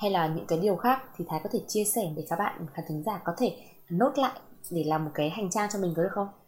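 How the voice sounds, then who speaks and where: A woman's voice sits at a fairly low pitch and sounds somewhat breathy. Her intonation is lively. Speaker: podcast host. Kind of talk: casual interview.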